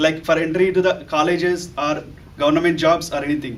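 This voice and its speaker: A man speaks with an Indian accent at a fairly high pitch. His pace is fairly quick and his intonation fairly even. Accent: Indian English (Telugu). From India, Telugu-speaking state. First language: Telugu. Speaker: analyst developer, club member. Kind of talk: prepared speech. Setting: club meeting with audience.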